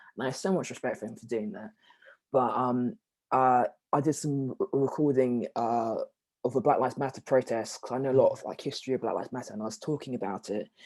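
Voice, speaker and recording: In a very clean recording with a silent background, a man with a London accent and a medium pitch speaks in a dark, mellow tone. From South London. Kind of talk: interview conversation. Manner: halting, many fillers.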